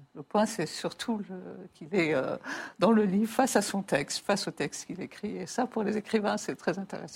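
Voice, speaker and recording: Woman at a moderate pace, somewhat breathy, with ordinary pitch variation. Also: medium pitch for a woman. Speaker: writer and mathematician. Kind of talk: interview.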